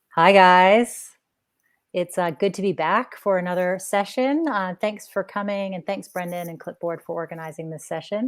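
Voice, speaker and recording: A woman speaks at a moderate pace with an American accent, using a plain, everyday voice. Her pitch is medium with ordinary variation, while her loudness swings widely. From US, Washington DC area. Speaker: clinical psychologist. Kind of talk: webinar presentation. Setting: online webinar.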